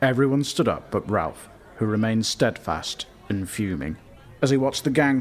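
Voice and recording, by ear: The pitch moves in an ordinary way as this natural voice reads aloud.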